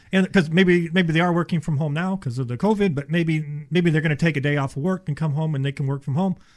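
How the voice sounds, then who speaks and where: A man with a fairly high pitch talks at a very fast pace with hardly any pauses, on a very clean recording with a silent background. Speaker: insulation contractor. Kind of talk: casual chat. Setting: studio.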